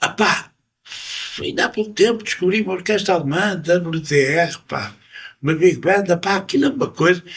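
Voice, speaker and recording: Ordinary pitch variation marks a man's speech. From Portugal, Porto. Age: 70s. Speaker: musician. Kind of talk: interview. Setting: jazz club. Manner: animated.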